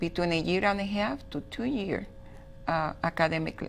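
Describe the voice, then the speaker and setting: With music in the background, a speaker with a Spanish accent talks at a moderate pace with ordinary pitch variation. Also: woman. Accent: Spanish accent, noticeable. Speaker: school director. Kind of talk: TV interview.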